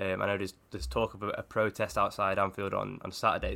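A man talks at a very fast pace in a fairly low pitch with ordinary pitch variation, vocal fry and a bright, sharp tone. The recording is very clean, with a silent background. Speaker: Liverpool-supporting football journalist. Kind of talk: casual football discussion.

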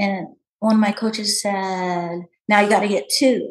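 A woman with a fairly high-pitched, somewhat breathy voice keeps a moderate pace. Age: 60s. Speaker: masters CrossFit athlete. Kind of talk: casual interview.

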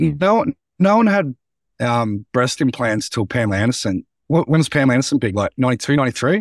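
Heard on a very clean recording with a silent background, a man with an Australian accent speaks with very wide pitch swings. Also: dry, close sound with no echo. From Australia, central Victoria. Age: 30s. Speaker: public speaker, former teacher. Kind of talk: casual interview.

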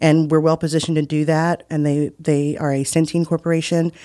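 Dry and close with no echo, this voice has a dark, mellow tone, a monotone, flat intonation and an American accent, delivered at a very fast pace. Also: woman. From West Virginia. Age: 40s. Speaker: healthcare executive and cancer survivor. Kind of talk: casual interview. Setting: studio.

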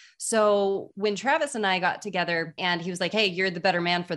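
On a very clean recording with a silent background, a woman talks at a fairly quick pace. She has a normal speaking voice with fairly low pitch. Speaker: entrepreneur, business coach. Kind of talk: podcast interview.

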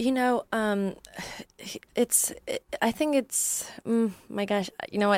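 A woman speaks with a Polish accent. The sound is dry and close, with no echo. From Poland. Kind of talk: casual interview. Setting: studio. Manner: halting, many fillers.

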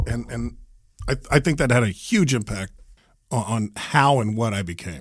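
The voice has vocal fry and very wide pitch swings. The recording is very clean, with a silent background. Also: man. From US military family, moved around. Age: 50s. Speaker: radio host. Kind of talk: interview testimony. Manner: halting, repeats words.

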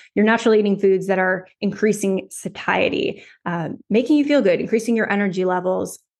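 Against a quiet background, a woman with a normal speaking voice talks fairly quickly at a medium pitch, with ordinary pitch variation and hardly any pauses. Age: 30s. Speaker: dietitian. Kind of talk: interview conversation. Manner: filler-heavy, self-correcting.

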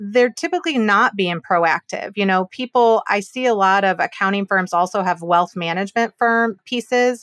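An ordinary speaking voice, recorded dry and close with no echo on a very clean, silent background, goes at a moderate pace with ordinary pitch variation. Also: woman. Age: 40s. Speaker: business valuation expert and mediator. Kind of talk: interview conversation.

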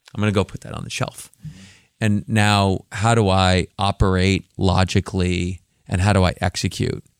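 At a moderate pace, a man speaks in a very deep, low voice with fairly even intonation and big swings in loudness, the sound dry and close with no echo. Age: 50s. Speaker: tech company CEO. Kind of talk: interview. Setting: studio.

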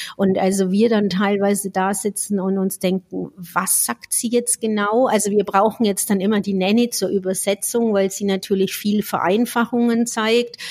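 A woman with an unremarkable speaking voice talks at a moderate pace and a medium pitch. Her intonation is fairly even, and she hardly pauses. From Franconia, Germany. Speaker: speech therapist podcast co-host. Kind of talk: casual chat.

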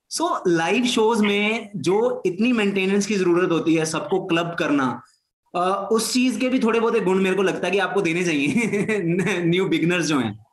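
Speaking in a high voice, a man uses ordinary pitch variation. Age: young. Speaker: podcast host. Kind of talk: interview.

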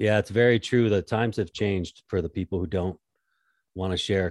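A man with a plain, everyday voice speaks at a moderate pace in a fairly low pitch and fairly even intonation. The sound is dry and close with no echo, and the background is quiet. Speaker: podcast host and contractor. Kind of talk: casual interview chat.

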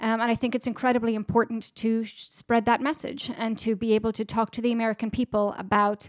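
A woman's fairly high voice at a very fast pace, dry and close with no echo, on a very clean recording with a silent background. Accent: Irish. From Ireland, border with Northern Ireland. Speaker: director of public education at a peace institute. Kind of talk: interview.

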